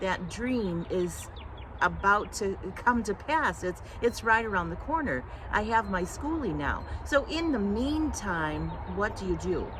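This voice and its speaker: Room echo is audible in this clip. A woman talks very slowly. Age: 60s. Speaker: vlogger planning bus life. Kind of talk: personal vlog talk to camera. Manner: halting, many fillers.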